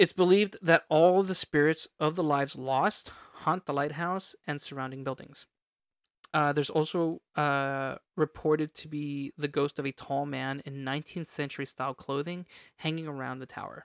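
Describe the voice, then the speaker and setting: On a very clean recording with a silent background, a man speaks at a moderate pace with a fairly high pitch, fairly even intonation, and big swings in loudness. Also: dry, close sound with no echo. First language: not English. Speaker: podcast co-host. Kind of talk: casual chat with storytelling.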